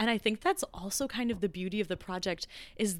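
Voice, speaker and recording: A woman speaks in an enthusiastic, animated tone at a medium pitch. Her pace is moderate and her pitch variation ordinary. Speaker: soprano and arts organization co-founder. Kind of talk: casual interview.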